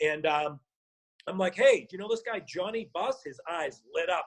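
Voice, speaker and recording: With a strong Boston accent, a man talks in an animated tone at a moderate pace. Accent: Boston accent, still strong. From Boston, Massachusetts (South Boston). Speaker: actor and former rapper. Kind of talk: casual interview storytelling.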